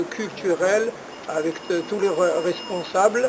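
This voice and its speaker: Against noticeable background noise, a man speaks very slowly in a monotone, flat voice pitched high. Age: 60s. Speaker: long-distance cyclist. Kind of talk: interview. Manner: halting, many hesitations.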